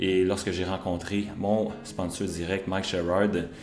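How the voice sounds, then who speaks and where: With a Quebec accent, a man speaks in a very deep, low voice, and room echo is audible. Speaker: real estate broker. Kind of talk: business presentation.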